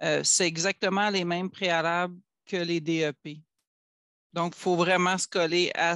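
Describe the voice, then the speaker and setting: At a very slow pace, the voice holds a monotone, flat intonation, the sound dry and close with no echo over a quiet background. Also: man. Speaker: academic records specialist. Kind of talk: work meeting discussion. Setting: video call.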